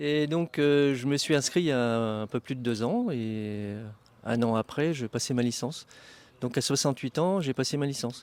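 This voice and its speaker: Speaking at a moderate pace with ordinary pitch variation, a man with a medium pitch and a plain, everyday voice is heard on a very clean recording with a silent background. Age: 60s. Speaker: flying club vice-president. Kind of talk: interview.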